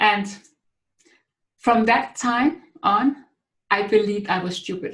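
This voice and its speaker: A woman with a Danish accent, fairly high in pitch with ordinary variation, at a very slow pace with long, frequent pauses. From Denmark. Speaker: author and speaker. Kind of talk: webinar talk. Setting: online webinar.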